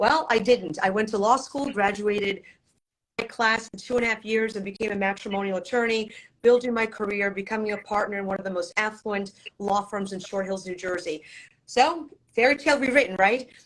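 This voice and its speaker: Here a woman talks at a fairly quick pace. Her medium pitch shows ordinary variation. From Poland, raised in US from childhood. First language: Polish. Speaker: divorce attorney. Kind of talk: interview.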